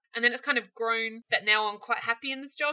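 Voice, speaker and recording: Talking at a fairly quick pace, a woman with a New Zealand accent has a bright, sharp tone. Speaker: small business owner, candle maker. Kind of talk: interview, casual chat.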